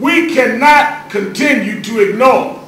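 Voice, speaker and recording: Over noticeable background noise, a man with an American accent speaks at an extremely high pitch. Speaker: civil rights leader and minister giving a speech. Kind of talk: rousing public speech to lawmakers.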